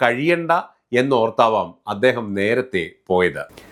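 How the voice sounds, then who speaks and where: A man is speaking. The pitch of his voice swings very widely. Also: very clean recording, silent background. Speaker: YouTube commentator. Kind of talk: scripted narration.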